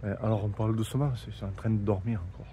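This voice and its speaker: Very fast, soft-spoken delivery in a dark, mellow tone, with vocal fry, lively intonation and audible room echo. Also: man. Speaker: travel vlogger. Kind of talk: casual vlog narration. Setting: outdoors, in a small courtyard. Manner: soft-spoken, speaking quietly.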